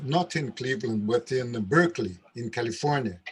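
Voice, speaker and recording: Somewhat breathy speech in a Brazilian Portuguese accent, at a moderate pace with lively intonation. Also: man. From Brazil, Rio de Janeiro. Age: 70s. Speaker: capoeira master. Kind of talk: casual chat. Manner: halting.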